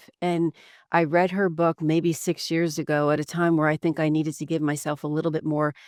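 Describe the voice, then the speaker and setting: The speaker talks at a fairly quick pace with a New Jersey accent. The recording is very clean with a silent background and a dry, close sound with no echo. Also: woman. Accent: New Jersey American. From New Jersey, US. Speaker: executive coach and former real estate attorney. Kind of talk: podcast interview. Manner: talkative.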